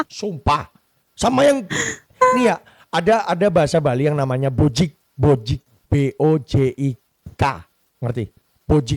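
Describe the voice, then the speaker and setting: In a Javanese accent, speech with lively intonation and an animated, somewhat breathy tone moves at a moderate pace with long, frequent pauses, the sound dry and close with no echo. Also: man, fairly high pitch for a man. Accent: Javanese (medok). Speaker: podcast host. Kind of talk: casual chat.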